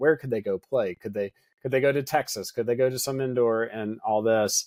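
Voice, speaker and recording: A man with an Appalachian accent and ordinary pitch variation. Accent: Southern US, Appalachian North Carolina. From Western North Carolina (Hendersonville). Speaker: pastor. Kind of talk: podcast interview.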